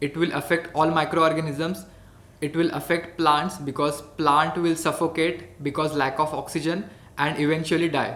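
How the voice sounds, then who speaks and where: With a Marathi Indian accent, a man talks at a moderate pace. His fairly high voice is monotone and flat. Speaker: hydroponics educator. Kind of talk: educational tutorial.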